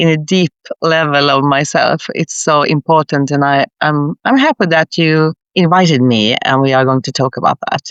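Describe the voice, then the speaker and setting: In a Swedish accent, a woman speaks at a moderate pace with a very deep, low pitch, ordinary pitch variation and very even loudness. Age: 60s. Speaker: leadership consultant, former nurse. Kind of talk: podcast interview.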